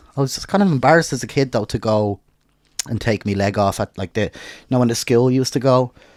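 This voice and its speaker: Very fast and with an Irish accent, a man speaks at a medium pitch with ordinary pitch variation, the sound dry and close with no echo on a very clean recording with a silent background. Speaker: podcast host. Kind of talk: casual chat.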